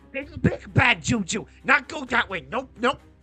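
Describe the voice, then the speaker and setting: A put-on character voice comes through loud and strained at a fairly high pitch and a moderate pace. Faint music sits in the background. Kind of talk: broken, simple speech. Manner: fearful, panicky.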